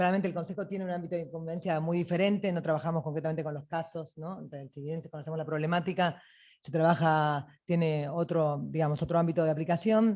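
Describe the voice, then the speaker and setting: With hardly any pauses, a woman talks very fast in a dark, mellow tone at a fairly low pitch, her intonation fairly even and her loudness swinging widely, on a very clean recording with a silent background. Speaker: judiciary council member. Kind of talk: panel talk. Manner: halting.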